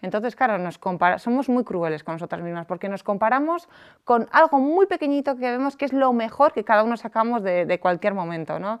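A woman talks at a fairly quick pace. Her fairly high voice swings very widely in pitch. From Basque Country, San Sebastián. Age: 30s. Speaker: life coach and entrepreneur. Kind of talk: podcast interview.

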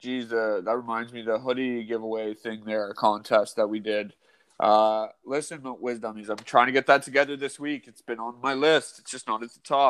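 With a Canadian accent, a man uses a plain, everyday voice at a medium pitch, keeping fairly even intonation and a moderate pace while his loudness swings widely. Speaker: podcast co-host. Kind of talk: casual chat. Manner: joking banter.

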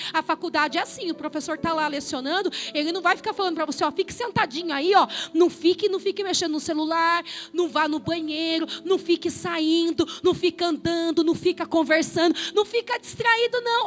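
An extremely high-pitched woman's voice, passionate and animated, with lively intonation. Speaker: pastor. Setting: church, live congregation. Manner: passionate, emphatic, rising-intensity delivery with rhythmic repetition; colloquial, animated, direct confrontational address to the congregation.

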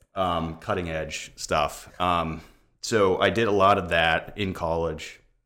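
A man speaks at a very slow pace in a very deep, low pitch with a bright, sharp tone. His intonation is monotone and flat, with audible room echo. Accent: American. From Florida, Tampa Bay area. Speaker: real estate agent. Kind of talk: casual interview. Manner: hesitant, many fillers.

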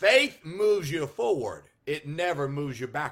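A man with an American accent uses a raised, projected voice at a fairly slow pace, with lively intonation and a bright, sharp tone, on a very clean recording with a silent background. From California. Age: 50s. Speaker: Baptist pastor. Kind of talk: sermon. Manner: halting.

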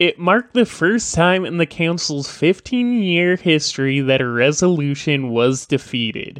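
Hardly pausing, a man talks at a fairly slow pace with lively intonation. The sound is dry and close, with no echo. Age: 30s. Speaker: podcast host. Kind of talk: solo news commentary. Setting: home studio, livestream.

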